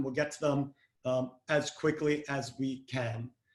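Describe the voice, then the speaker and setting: The man speaks with fairly even intonation. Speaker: webinar host and marketing executive. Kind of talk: webinar moderation. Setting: video call webinar. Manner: many filler words (um, uh, you know).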